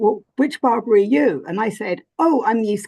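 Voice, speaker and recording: With a strong English accent, a woman talks at a moderate pace and medium pitch, her intonation lively, the sound dry and close with no echo over a quiet background. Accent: thick English. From England. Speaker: spiritual teacher and author. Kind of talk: interview conversation. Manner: hesitant, many fillers.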